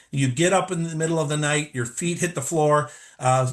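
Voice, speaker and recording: At a fairly quick pace, a man speaks in a fairly high, somewhat breathy voice over a quiet background. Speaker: lighting design presenter. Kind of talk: webinar presentation. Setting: live webinar. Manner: fast.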